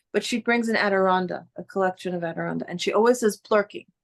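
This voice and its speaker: Talking at a fairly quick pace, a woman speaks with a New York accent. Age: old. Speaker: spiritual teacher. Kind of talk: casual chat. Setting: video call. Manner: animated.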